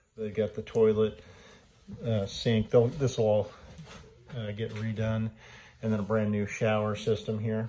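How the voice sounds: A dark, mellow tone moves at a fairly slow pace, with little pitch movement. Long, frequent pauses break it up, and room echo is audible. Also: man, fairly low pitch for a man.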